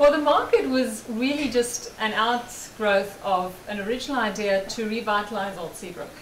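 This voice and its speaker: A woman with a South African accent talks at a moderate pace, with hardly any pauses, a fairly high pitch and ordinary pitch variation. Her loudness swings widely, and the recording carries audible room echo and noticeable background noise. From South Africa, Johannesburg. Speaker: market organizer. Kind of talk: interview. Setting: studio.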